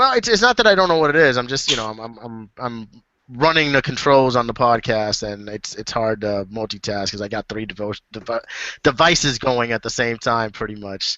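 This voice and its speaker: At a fairly quick pace, a man speaks in a medium pitch with ordinary pitch variation and big swings in loudness. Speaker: podcast host running the controls. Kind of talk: casual chat. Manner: halting.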